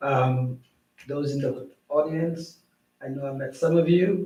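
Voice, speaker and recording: A somewhat breathy man with a Saint Lucian accent, fairly high-pitched, with fairly even intonation and audible room echo. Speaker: school superintendent. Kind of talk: council meeting introduction. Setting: town council meeting.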